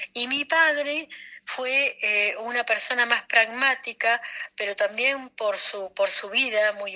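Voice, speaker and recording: A woman's voice carries a bright, sharp tone with ordinary pitch variation. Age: 60s. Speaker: anthropologist. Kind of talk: interview. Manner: halting, many fillers and repetitions.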